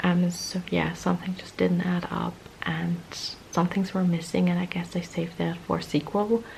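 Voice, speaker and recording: A woman speaks quietly at a moderate pace over noticeable background noise. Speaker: vlogger. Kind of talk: casual vlog monologue. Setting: at home at night.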